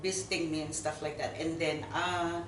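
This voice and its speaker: A woman with a Filipino accent, very deep and low in pitch, monotone and flat, at a moderate pace, with audible room echo and noticeable background noise. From Philippines. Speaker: missionary. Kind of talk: interview. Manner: halting, many fillers.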